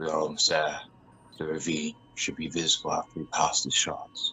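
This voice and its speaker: Using a put-on character voice, a man talks at a moderate pace. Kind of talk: radio drama.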